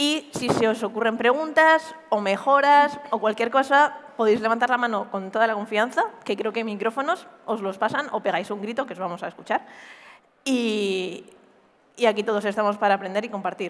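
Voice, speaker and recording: At a moderate pace, a woman talks in a fairly high voice with ordinary pitch variation. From Spain, Murcia; Spain. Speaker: cybersecurity pentester; conference presenter. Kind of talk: conference talk. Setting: stage with audience. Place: stage. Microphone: headset.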